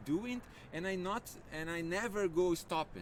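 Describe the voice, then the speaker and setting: A man with a Brazilian Portuguese accent talks with lively intonation. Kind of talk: casual chat. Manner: halting.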